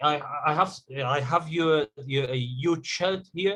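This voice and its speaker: At a fairly slow pace, a man with an Egyptian accent talks with a fairly high pitch and ordinary pitch variation. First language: Arabic. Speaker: digital marketing agency owner. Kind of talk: question in group coaching call. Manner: halting.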